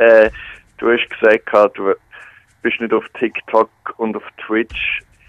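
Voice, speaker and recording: A man's medium-pitched voice at a very slow pace, broken by long, frequent pauses. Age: 20s. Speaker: student and radio presenter. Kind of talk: phone interview. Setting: phone call.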